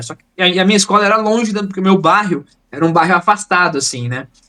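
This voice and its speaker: High-pitched for a man, this voice has a bright, sharp tone. He rushes along at a very fast pace. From Bahia, Brazil (Northeast). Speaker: tabletop RPG player and game designer. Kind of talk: casual podcast chat, personal story. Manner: animated, slangy.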